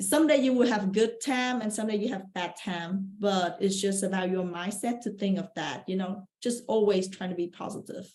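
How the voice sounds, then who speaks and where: With a Vietnamese accent, a woman speaks at a moderate pace and medium pitch, her voice somewhat breathy with ordinary pitch variation. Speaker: real estate investor. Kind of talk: podcast interview.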